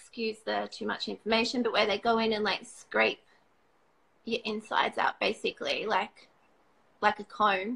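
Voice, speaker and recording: With an Australian accent, a woman speaks at a moderate pace, leaving long, frequent pauses. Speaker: cancer survivor. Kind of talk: testimony.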